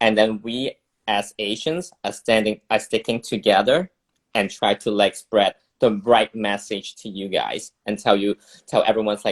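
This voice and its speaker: A man with a Cantonese accent talks at a fairly slow pace in a medium pitch. His intonation stays fairly even, and the sound is dry and close with no echo. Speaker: illustrator and campaign organizer. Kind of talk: casual chat. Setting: video livestream. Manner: halting.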